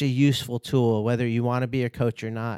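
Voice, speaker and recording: A man talks at a moderate pace and medium pitch in an ordinary speaking voice. The recording is very clean, with a silent background and a dry, close sound with no echo. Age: 40s. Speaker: skydiving instructor. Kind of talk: casual chat. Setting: studio.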